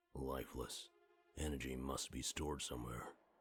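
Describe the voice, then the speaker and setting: With music in the background, a man puts on a character voice at a very deep, low pitch, talking at a moderate pace. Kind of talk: otherworldly, measured and formal. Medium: game stream. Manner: detached, cryptic, speaks as "we".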